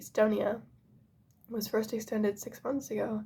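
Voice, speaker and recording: A woman whispers in a soft-spoken, somewhat breathy way. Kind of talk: ASMR book reading. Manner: soft-spoken, whispering.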